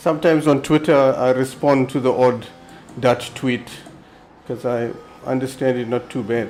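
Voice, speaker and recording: Over music in the background, a man at medium pitch speaks with fairly even intonation and long, frequent pauses. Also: moderate pace. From South Africa. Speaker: sim racing streamer. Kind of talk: live gameplay commentary.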